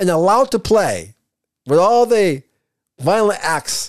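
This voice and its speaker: A man with an American accent speaks in a high pitch for a man. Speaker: sports fan, host's father. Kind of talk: casual chat. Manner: halting, many repetitions.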